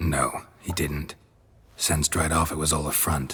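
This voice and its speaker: A man does a put-on character voice, very deep and low, at a moderate pace. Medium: machinima. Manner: terse, deadpan.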